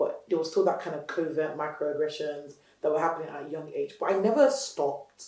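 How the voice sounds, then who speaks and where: Noticeable background noise sits behind a woman speaking in a passionate, animated tone at a fairly quick pace. Her voice is very deep and low in pitch, with ordinary variation. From Nigeria, Lagos; moved to UK at 12-13. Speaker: entrepreneur, company founder. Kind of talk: interview.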